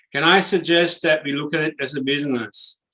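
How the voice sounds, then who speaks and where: Speaking in a German accent, a man keeps a moderate pace. His pitch sits fairly high. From Germany. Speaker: property investment educator. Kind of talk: webinar presentation. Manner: direct.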